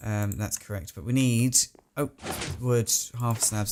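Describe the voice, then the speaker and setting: A man with an English accent, medium in pitch and fairly slow in pace. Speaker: gaming video creator. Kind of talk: gameplay commentary. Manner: animated.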